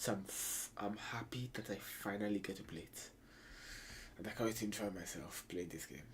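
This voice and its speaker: A soft-spoken, somewhat breathy man talks at a moderate pace in a fairly low pitch with ordinary pitch variation. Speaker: gaming streamer. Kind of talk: gameplay commentary.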